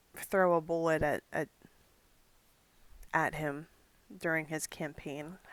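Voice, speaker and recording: A woman mumbles at a very deep, low pitch and a very slow pace, with long, frequent pauses. Her intonation is monotone and flat, in a dry, close sound with no echo. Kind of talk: commentary monologue. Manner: mumbling.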